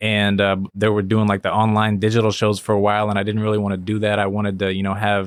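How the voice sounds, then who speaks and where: A man with a fairly low pitch talks very fast. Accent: American. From Missouri, small town near St. Louis. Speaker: cartoonist and comedian. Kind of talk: casual interview chat. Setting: studio.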